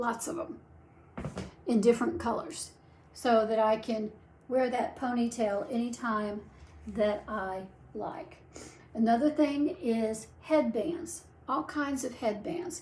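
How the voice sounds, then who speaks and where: Over noticeable background noise, a woman with a high pitch and lively intonation talks at a very slow pace with long, frequent pauses. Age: 70s. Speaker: wig reviewer and vlogger. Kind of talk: product tutorial. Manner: chatty, animated.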